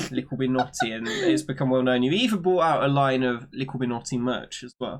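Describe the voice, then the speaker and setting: A man talks at a fairly quick pace in a British accent. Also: medium pitch for a man, ordinary pitch variation. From Britain. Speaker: gaming streamer. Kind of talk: casual chat. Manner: loud.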